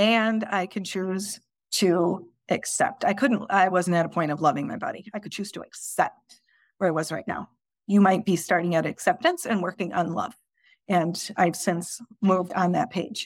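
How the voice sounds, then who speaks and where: Heard in a very clean recording with a silent background, a woman with an unremarkable speaking voice and medium pitch talks at a moderate pace with ordinary pitch variation. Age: 40s. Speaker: life coach and podcast host. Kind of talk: solo podcast monologue. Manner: casual, with frequent repetitions.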